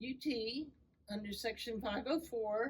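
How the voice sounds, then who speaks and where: A woman with a normal speaking voice talks at a fairly slow pace in a fairly high voice, with ordinary pitch variation. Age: 60s. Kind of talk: podcast interview.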